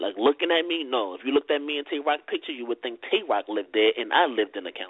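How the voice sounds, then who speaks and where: This man talks at a very fast pace with lively intonation, a fairly high pitch and a strong Baltimore accent. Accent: thick Baltimore. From Baltimore, Maryland (inner city). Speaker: battle rapper. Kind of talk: casual interview. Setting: phone call. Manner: needs to project more, not loud.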